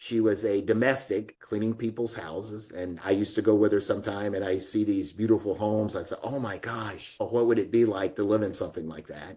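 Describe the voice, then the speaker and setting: A man with an American accent and a dark, mellow tone talks at a fairly quick pace with hardly any pauses and fairly even intonation. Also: fairly low pitch for a man. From US South, Alabama (Florence). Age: 60s. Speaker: real estate executive, retired army colonel. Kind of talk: interview. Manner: conversational, uses fillers.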